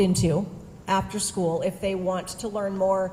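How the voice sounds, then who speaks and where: A woman's medium-pitched voice with audible room echo and music in the background. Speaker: education service district presenter. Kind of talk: presentation to school board. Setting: school board meeting.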